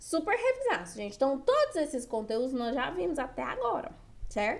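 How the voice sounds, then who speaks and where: With audible room echo around her, a woman talks at a moderate speed. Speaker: writing teacher for exam prep. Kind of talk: online lecture.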